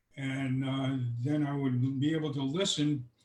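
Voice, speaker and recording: Somewhat breathy and fairly high in pitch, a man speaks at a fairly slow pace with fairly even intonation. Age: 80s+. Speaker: retired airline worker and investor. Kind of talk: interview. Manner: halting, many fillers.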